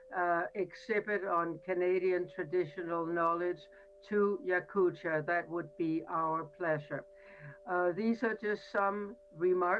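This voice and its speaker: A woman's very slow speech with very even loudness and ordinary pitch variation, music in the background. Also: fairly low pitch for a woman. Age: 70s. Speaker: university academic. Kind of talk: panel remarks at online roundtable. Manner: halting, many fillers.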